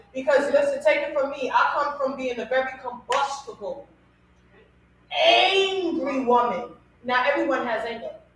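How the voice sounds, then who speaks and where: Over noticeable background noise, a woman speaks in a high, animated tone with ordinary pitch variation. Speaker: radio podcast host. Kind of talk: casual talk show discussion. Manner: loud.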